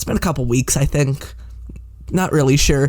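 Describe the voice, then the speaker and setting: A man talks in a normal speaking voice. His pace is fairly quick, with ordinary pitch variation. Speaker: podcast host. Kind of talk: podcast interview, casual.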